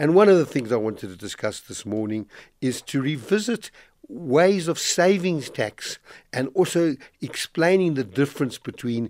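A man's voice at a moderate pace with very wide pitch swings, in a very clean recording against a silent background. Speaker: financial planning expert. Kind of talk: radio finance advice segment. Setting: radio studio. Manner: energetic.

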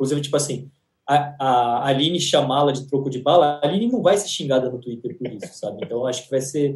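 Somewhat breathy, a man speaks at a fairly quick pace, his pitch fairly high with ordinary variation. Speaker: entertainment podcast co-host. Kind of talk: casual chat.

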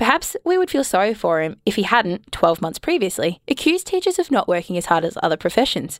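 Speaking at a very fast pace with an Australian accent, a woman swings her pitch very widely, and the sound is dry and close with no echo. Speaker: radio co-host. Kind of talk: comedy news show.

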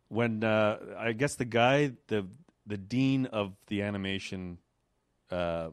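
Speaking very slowly in a Quebec accent, a man with a fairly low pitch leaves long, frequent pauses and shows ordinary pitch variation. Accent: Canadian French-accented English. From Quebec, Canada. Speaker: animator. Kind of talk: casual chat.

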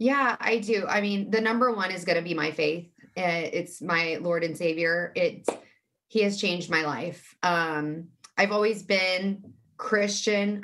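Speaking at a fairly slow pace, a woman uses a bright, sharp, fairly low voice with ordinary pitch variation. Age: 30s. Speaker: mental health advocate. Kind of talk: casual interview.

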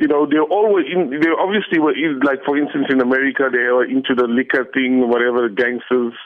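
At a fairly quick pace with hardly any pauses, a man in an unremarkable speaking voice holds a medium pitch, ordinary pitch variation and very even loudness. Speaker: local history group founder. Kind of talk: recorded phone comment.

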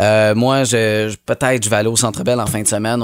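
Over music in the background, a man with a Quebec accent talks at a very fast pace. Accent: Québécois French. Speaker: radio host. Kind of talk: casual chat.

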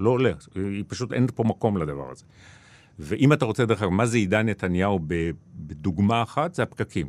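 Speaking at a moderate pace, a man with a fairly low pitch uses lively intonation and long, frequent pauses. The recording is very clean, with a silent background. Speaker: journalist and author. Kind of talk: interview. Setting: studio.

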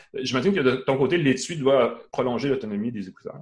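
Moving at a fairly quick pace, a man talks in an ordinary speaking voice at a medium pitch. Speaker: tech show host. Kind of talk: live tech talk show. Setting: live stream.

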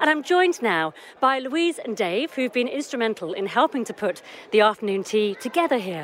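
Her high voice moves through very wide pitch swings as the woman speaks. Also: fairly quick pace. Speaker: community radio podcast co-host. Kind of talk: casual chat and interviews. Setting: outdoors at a village afternoon tea.

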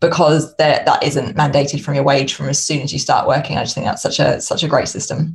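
A woman speaks at a very fast pace. Noticeable background noise sits behind her. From United Kingdom. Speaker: consultant and podcaster, former accountant. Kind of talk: casual interview chat.

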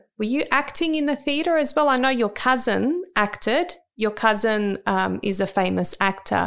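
A woman speaks in an ordinary speaking voice, fairly high, at a moderate pace with hardly any pauses. Her intonation is lively, her loudness very even, and the recording very clean with a silent background. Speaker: podcast host. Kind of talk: casual interview. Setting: in person, office.

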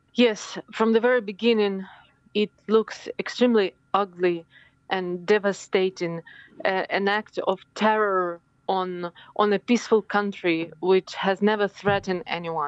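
This woman has a Ukrainian accent and a medium pitch. She speaks at a fairly slow pace with fairly even intonation. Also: dry, close sound with no echo. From Ukraine. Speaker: politician. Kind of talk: interview. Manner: halting.

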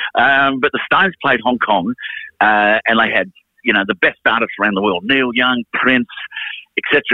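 This man has an Australian accent and a medium pitch. He talks at a moderate pace with ordinary pitch variation. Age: 50s. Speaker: music manager and musician. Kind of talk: casual chat.

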